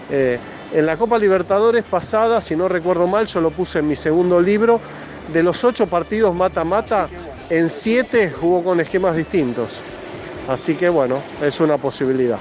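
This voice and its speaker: A high-pitched man with a Rioplatense accent speaks at a moderate pace with lively intonation and very even loudness, over noticeable background noise. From Argentina. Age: 50s. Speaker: football journalist. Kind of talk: interview.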